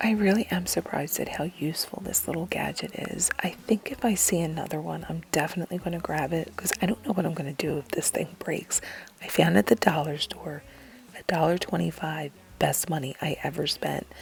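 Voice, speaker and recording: Fairly quick speech from a woman with a very deep, low pitch, over noticeable background noise. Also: ordinary pitch variation. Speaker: lifestyle vlogger. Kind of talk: voiceover narration. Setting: at home. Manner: whispering.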